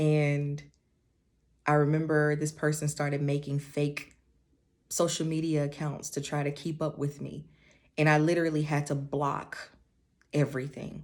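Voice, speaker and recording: A soft-spoken woman talks with a very deep, low pitch and monotone, flat intonation. Long, frequent pauses break up her speech. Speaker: beauty and confidence vlogger. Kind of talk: personal testimony. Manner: slow.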